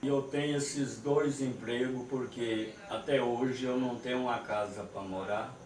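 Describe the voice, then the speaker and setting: Amid noticeable background noise and audible room echo, a man speaks fairly slowly at a medium pitch with fairly even intonation. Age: 60s. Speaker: sertaneja musician and farm worker. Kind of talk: interview testimony. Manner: halting.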